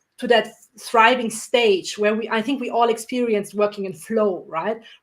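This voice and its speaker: A woman with a non-native accent talks at a moderate pace. Her pitch is fairly high, her intonation fairly even. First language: not English. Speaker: entrepreneur and coach on panel. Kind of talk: panel discussion.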